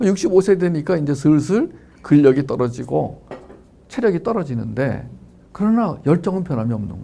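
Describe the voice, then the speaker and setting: At a moderate pace, a man with a fairly high pitch and a dark, mellow tone swings very widely in pitch and heavily in loudness. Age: 60s. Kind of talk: lecture. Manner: animated, conversational.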